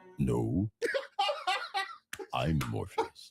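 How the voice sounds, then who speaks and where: The speaker puts on a raspy character voice with a very deep, low pitch. Music plays in the background. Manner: solemn, commanding.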